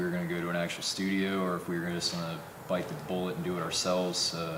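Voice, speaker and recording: With a central Pennsylvania accent, a man speaks at a very fast pace in a very deep, low voice, amid audible room echo and noticeable background noise. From central Pennsylvania (Tyrone). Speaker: rock band musician. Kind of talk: casual interview.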